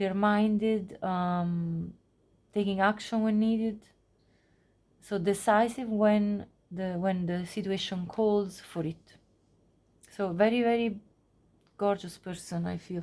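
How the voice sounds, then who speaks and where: With a non-native accent, a woman talks at a very slow pace in a dark, mellow tone, her medium pitch carrying fairly even intonation and long, frequent pauses. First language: not English. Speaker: tarot reader. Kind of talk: tarot reading monologue. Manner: halting, many fillers.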